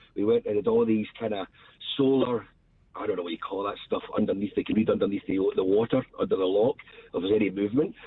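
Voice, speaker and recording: In a Scottish accent, a man speaks at a very fast pace. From Scotland. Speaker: radio show caller. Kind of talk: casual chat.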